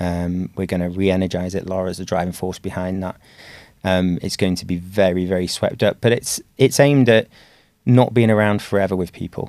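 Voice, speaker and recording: In an English accent, a man talks at a fairly quick pace with a very deep, low pitch, captured in a very clean recording with a silent background. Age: 40s. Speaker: dentist and practice owner. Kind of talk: interview conversation.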